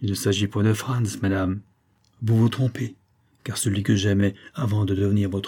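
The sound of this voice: The unforced reading voice keeps its intonation fairly even.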